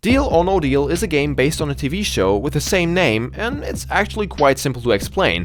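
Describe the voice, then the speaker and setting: A man speaks with a non-native accent. Noticeable background noise sits behind him. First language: not English. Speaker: gaming video creator. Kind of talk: scripted commentary. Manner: animated.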